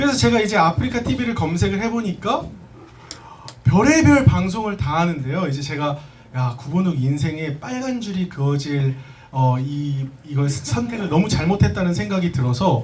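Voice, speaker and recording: At a moderate pace, the voice moves through very wide pitch swings with audible room echo. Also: man, fairly high pitch for a man. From South Korea, schooled in US from middle school. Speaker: business presenter. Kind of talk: business presentation to audience.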